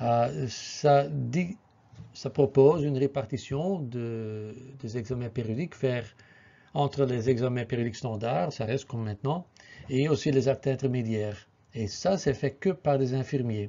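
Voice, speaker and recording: A man with a non-native accent and ordinary pitch variation. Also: medium pitch for a man, fairly slow pace. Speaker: occupational health physician. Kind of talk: presentation. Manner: halting, many filler sounds.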